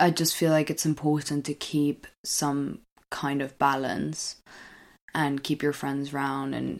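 On a very clean recording with a silent background, the words are delivered at a fairly slow pace. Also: woman. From Britain (culturally). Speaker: podcast co-host. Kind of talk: casual chat.

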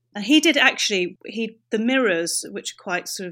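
A woman talks at a moderate pace on a very clean recording with a silent background. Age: 30s. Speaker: bar owner. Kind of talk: interview. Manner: halting.

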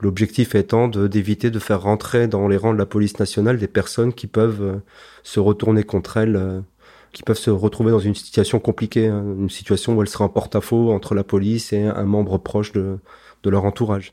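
Against a quiet background, a man talks at a fairly quick pace, his pitch fairly low and his intonation monotone and flat. His tone is dark and mellow, and the sound is dry and close with no echo. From Strasbourg, Alsace, France. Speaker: former intelligence police officer. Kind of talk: testimony. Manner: conversational with frequent hesitations.

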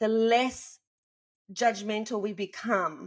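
Very cleanly recorded against a silent background, a woman with an Australian accent speaks at a fairly high pitch. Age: 50s. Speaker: podcast co-host. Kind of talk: casual chat.

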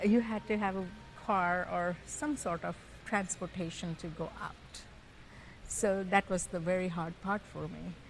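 A woman with a Gujarati accent speaks at a moderate pace and medium pitch, her intonation fairly even and her speech broken by long, frequent pauses. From Tanzania, Kenya, then India. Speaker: guest, mother. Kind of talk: casual interview conversation.

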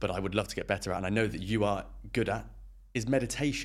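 A man talks at a very fast pace with vocal fry. His pitch sits fairly low. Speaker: podcast host. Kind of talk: casual interview.

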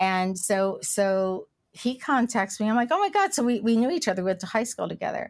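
On a very clean recording with a silent background, a woman speaks in an unremarkable speaking voice with fairly high pitch and lively intonation. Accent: American. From US, West Virginia/Kentucky/Ohio tri-state area. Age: 60s. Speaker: cannabis entrepreneur. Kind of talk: casual interview.

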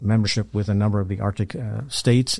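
A man's fairly low, dark, mellow voice with an American accent, fairly even intonation and a quiet background. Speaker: retired intelligence officer. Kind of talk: interview. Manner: halting.

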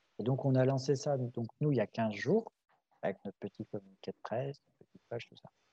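At a fairly quick pace, a man speaks at a medium pitch in a somewhat breathy, dark and mellow voice, with ordinary pitch variation and big swings in loudness, in a dry, close sound with no echo. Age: 30s. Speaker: farmer and association president. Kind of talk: casual interview.

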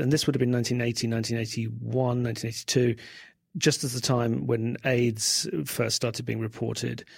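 A man with a London accent, medium-pitched, at a moderate pace. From England, South London. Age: 40s. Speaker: writer. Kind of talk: interview.

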